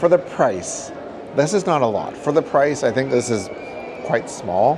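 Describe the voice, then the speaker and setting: Lively intonation carries a Canadian prairie accent, heard with audible room echo and noticeable background noise. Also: man. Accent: Canadian prairie, comes out at times. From Canada, Saskatchewan prairies. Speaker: travel vlogger. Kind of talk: casual food review vlog. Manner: casual, conversational with fillers.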